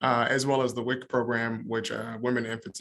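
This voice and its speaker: Very fast speech in a monotone, flat intonation. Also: man. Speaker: county public health director. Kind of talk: conference presentation.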